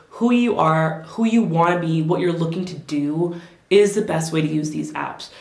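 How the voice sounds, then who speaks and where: A woman talks at medium pitch and a moderate pace with ordinary pitch variation, and the room echo is audible. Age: 20s. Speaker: lifestyle vlogger. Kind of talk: casual advice talk to camera. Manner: conversational, animated.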